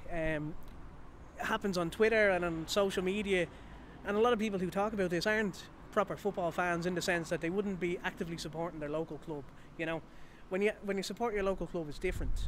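A man with a Dublin accent speaks at a very fast pace in a high voice, with light background noise. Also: dry sound with no echo. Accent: Irish, Dublin. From Ireland. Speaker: football fan. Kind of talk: interview. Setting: outdoors. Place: street. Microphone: handheld.

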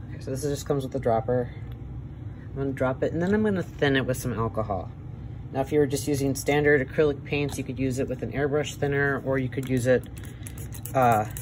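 A man with an American accent talks very fast yet with long, frequent pauses and ordinary pitch variation. Noticeable background noise is present. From Wisconsin, USA. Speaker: airbrush artist. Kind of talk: tutorial demonstration. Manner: casual, hesitant. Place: workshop.

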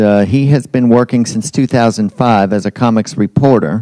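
A man with a dark, mellow tone speaks with fairly even intonation, the sound dry with no echo and the background quiet. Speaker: event host introducing a guest. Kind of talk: speaker introduction at a public event. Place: hall. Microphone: handheld.

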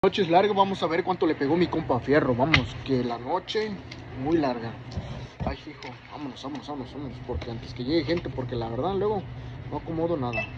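Noticeable background noise accompanies a man's fairly quick delivery. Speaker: lottery vlogger. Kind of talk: casual vlog chat. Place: shop. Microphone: phone near.

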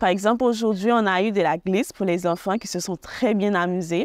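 A woman's voice with ordinary pitch variation comes through as dry sound with no echo. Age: 20s. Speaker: student volunteer at a charity. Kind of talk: testimony. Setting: holiday centre on location. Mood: calm, warm. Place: open country.

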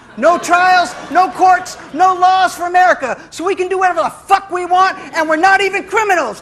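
Through noticeable background noise, a man with an extremely high voice speaks at a moderate pace in an animated tone. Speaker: spoken-word poet. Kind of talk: spoken-word poem performance, satirical. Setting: stage with live audience. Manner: animated, aggressive, mock-swaggering, sarcastic, punchy and rhythmic.

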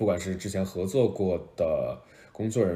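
A man is speaking. His pace is very slow. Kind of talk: casual livestream chat. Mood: relaxed, friendly. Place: home room. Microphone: phone near.

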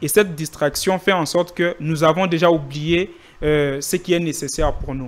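A man with fairly high pitch, fairly even intonation and a moderate pace

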